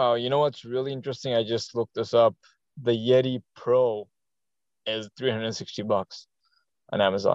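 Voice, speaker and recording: A man of medium pitch talks at a moderate pace in a monotone, flat intonation. The sound is dry and close with no echo, and his pauses are long and frequent. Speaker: podcast co-host. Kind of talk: casual chat. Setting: video call.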